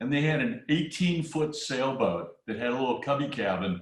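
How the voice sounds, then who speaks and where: A man talks at a medium pitch and moderate pace with lively intonation. His voice is somewhat breathy. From US Midwest. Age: 60s. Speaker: retired businessman, sailing supporter. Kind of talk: casual interview. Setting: video call. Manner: hesitant, with repeated fillers.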